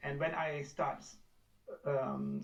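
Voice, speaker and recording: Speech comes at a very slow pace in a Pakistani accent, somewhat breathy. Audible room echo surrounds it. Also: man. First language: Urdu. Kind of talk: testimony. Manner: halting.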